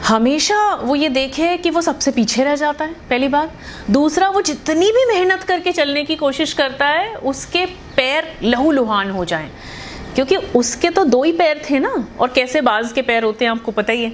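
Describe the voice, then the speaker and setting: A woman talks in a high pitch with lively intonation. Noticeable background noise sits behind her. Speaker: radio jockey. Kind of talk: motivational storytelling to camera. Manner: casual, conversational.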